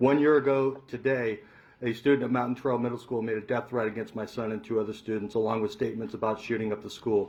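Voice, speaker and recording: A man's voice at a very fast pace, medium in pitch, with fairly even intonation. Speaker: parent testifying at hearing. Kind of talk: public testimony.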